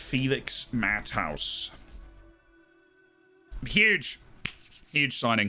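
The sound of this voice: A man speaks very slowly in a nasal, put-on character voice at a medium pitch, with music playing in the background.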